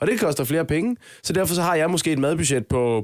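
Talking at a fairly quick clip, a man uses an unremarkable speaking voice whose pitch moves in an ordinary way. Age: 20s. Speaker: podcast co-host. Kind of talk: casual chat.

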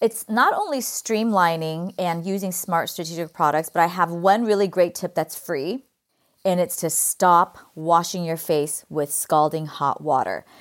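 Recorded very cleanly against a silent background, a woman with a Californian accent and a fairly low voice speaks at a fairly slow pace with ordinary pitch variation. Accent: Californian Valley Girl. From California, US. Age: 50s.

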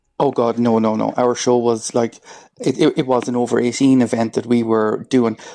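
A man with an Irish accent has a dark, mellow tone, monotone, flat intonation and very even loudness. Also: medium pitch for a man, moderate pace. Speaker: drag performer. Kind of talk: radio interview. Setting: phone call.

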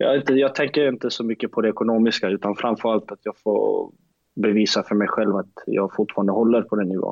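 A plain, everyday voice from a man, medium in pitch, fairly quick and fairly even in intonation. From Sweden, Skåne (Lund). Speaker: professional footballer. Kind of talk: interview.

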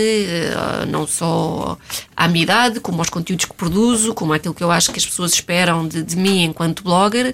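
Ordinary pitch variation and a moderate pace in a woman's unremarkable speaking voice. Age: 30s. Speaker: blogger. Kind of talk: casual chat.

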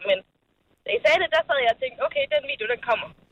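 High-pitched woman at a very fast pace, with very wide pitch swings. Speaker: caller. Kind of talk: casual chat. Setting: phone call.

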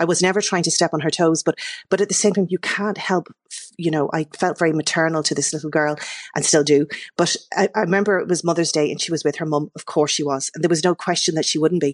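A woman's fairly low voice at a very fast pace, in an Irish accent with fairly even intonation. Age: 50s. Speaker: novelist. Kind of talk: radio interview.

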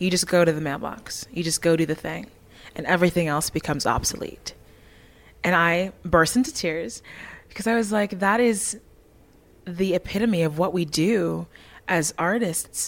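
The speech moves at a moderate pace with long, frequent pauses and ordinary pitch variation. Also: woman, fairly low pitch for a woman. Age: 20s. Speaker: musical theatre actress. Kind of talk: casual chat. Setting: backstage at a concert venue.

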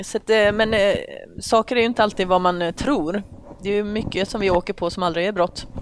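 Fairly quick speech from a woman at medium pitch, with fairly even intonation. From Sweden, Oskarshamn (Småland). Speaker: police officer. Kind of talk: casual interview chat. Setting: men's locker room at a golf club.

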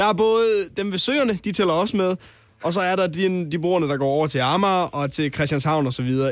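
A man speaks with a high pitch and lively intonation in a North Jutland accent. His loudness stays very even at a moderate pace. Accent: North Jutlandic dialect. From North Jutland, Denmark. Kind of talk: casual chat.

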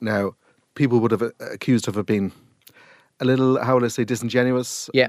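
A man with a Cork accent at medium pitch and a fairly quick pace, fairly even in intonation, with long, frequent pauses and a dry, close sound with no echo. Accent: Cork Irish. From Ireland. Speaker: podcast host. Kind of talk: casual interview chat.

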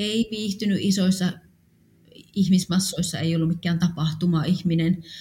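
Somewhat breathy and dark, mellow in tone, a woman's fairly low voice moves at a fairly slow pace with fairly even intonation. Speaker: funeral home owner. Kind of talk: personal testimony.

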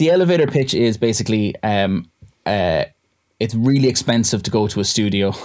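In a western Irish accent, the speaker moves at a fairly quick pace, with lively intonation and very even loudness. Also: man, medium pitch for a man. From West of Ireland. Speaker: electronic musician. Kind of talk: casual chat.

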